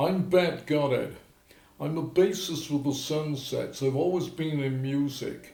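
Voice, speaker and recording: Someone with an English accent speaks at a fairly slow pace and with fairly even intonation. Noticeable background noise and audible room echo fill the recording. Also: man, fairly high pitch for a man. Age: 80s+. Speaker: rock and roll bassist. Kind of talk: interview testimony. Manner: halting.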